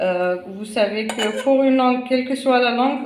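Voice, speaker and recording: A woman's high voice with a non-native accent and audible room echo. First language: not French (speaking French). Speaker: cooking channel host. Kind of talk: cooking tutorial. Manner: hesitant, many fillers.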